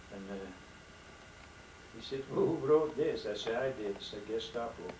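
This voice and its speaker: A man talks at a fairly slow pace. There is noticeable background noise and audible room echo. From Netherlands. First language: Dutch. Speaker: elderly father telling life story. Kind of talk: testimony. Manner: halting.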